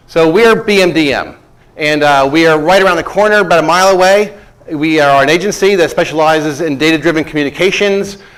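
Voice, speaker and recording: A man speaks at a fairly quick pace. Both room echo and background noise are noticeable. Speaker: business presenter. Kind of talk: startup pitch presentation. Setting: stage with live audience. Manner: fast.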